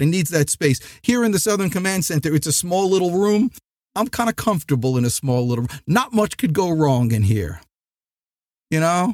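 Loud and high-pitched, a man with a New Jersey accent talks at a moderate pace with lively intonation, his sound dry and close with no echo on a very clean recording with a silent background. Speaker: sales trainer and podcast host. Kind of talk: motivational podcast monologue. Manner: loud, energetic.

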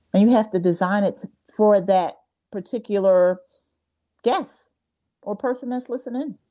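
In an American accent, a woman speaks at a moderate pace with a medium pitch, ordinary pitch variation and a dark, mellow tone. She leaves long, frequent pauses. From US Northeast, New Jersey. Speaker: podcast host. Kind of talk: interview. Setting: video call. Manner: animated.

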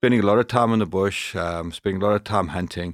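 A man with a Zimbabwean accent talks at a very fast pace, captured with a dry, close sound with no echo on a very clean recording with a silent background. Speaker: professional hunter and firearms instructor. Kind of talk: casual interview.

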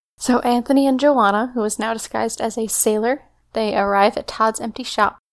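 Fairly quick and fairly high-pitched, this woman has a plain, everyday voice with fairly even intonation. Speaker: podcast co-host. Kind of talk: casual chat.

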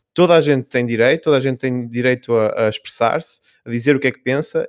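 At a fairly quick pace, a man with a normal speaking voice and ordinary pitch variation is heard in a dry, close sound with no echo. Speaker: video game editor. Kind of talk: casual panel discussion.

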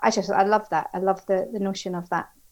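Speaking in an Edinburgh accent, a woman holds a medium pitch. Her intonation is monotone and flat. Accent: Scottish (Edinburgh). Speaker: HR executive. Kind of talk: interview.

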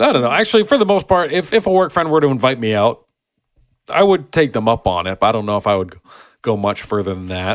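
A man's very fast speech at medium pitch with very wide pitch swings, in a very clean recording with a silent background. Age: 20s. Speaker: podcast co-host; military veteran. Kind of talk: casual chat. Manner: animated.

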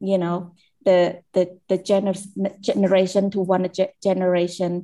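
Speaking with a Cambodian accent at a fairly slow pace, a woman keeps a medium pitch and monotone, flat intonation. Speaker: care leaver advocate. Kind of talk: personal testimony. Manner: halting, searching for words.

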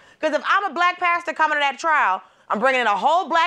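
Very fast and projected, a woman's extremely high voice comes across animated and bright, sharp, with lively intonation. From Georgia, US South. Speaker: comedian and correspondent. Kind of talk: comedic banter.

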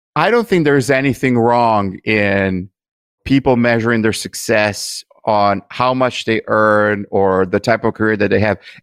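Speaking with an Italian accent, a man keeps a medium pitch at a moderate pace. The sound is dry and close with no echo against a quiet background. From Italy. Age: 50s. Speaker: podcast host, digital marketer. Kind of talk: interview.

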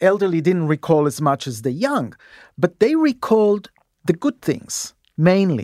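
A high-pitched man at a moderate pace with very wide pitch swings, dry and close with no echo, on a very clean recording with a silent background. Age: 60s. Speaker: aging research scientist. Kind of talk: interview. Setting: studio. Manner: halting, repeats words.

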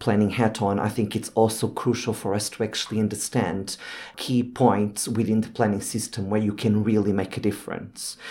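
Heard on a very clean recording with a silent background, the speaker talks at a moderate pace with monotone, flat intonation. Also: man. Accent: Portuguese. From Portugal (Lisbon). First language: Portuguese. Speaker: urban planner. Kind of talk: panel discussion. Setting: studio.

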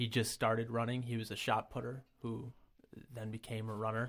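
The recording is very clean, with a silent background. A man with an American accent talks at medium pitch with monotone, flat intonation. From Rochester area, upstate New York (Brockport). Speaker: amateur competitive runner. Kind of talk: casual interview.

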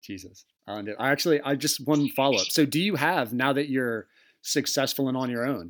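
Here is a man with an American accent and a normal speaking voice. He talks at a fairly quick pace with ordinary pitch variation. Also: medium pitch for a man, very clean recording, silent background. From Arizona. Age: 30s. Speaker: podcast host. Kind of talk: casual chat.

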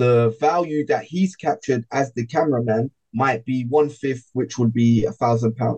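Somewhat breathy, a man speaks at a medium pitch with ordinary pitch variation and hardly any pauses. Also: moderate pace. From UK urban background. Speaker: public speaker and entrepreneur. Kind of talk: casual interview chat.

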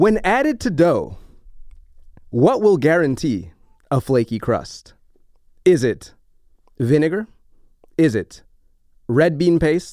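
A man with a dark, mellow tone and fairly high pitch talks at a very slow pace, with very wide pitch swings and long, frequent pauses. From New Orleans, US South. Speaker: podcast host and baker. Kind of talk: casual chat.

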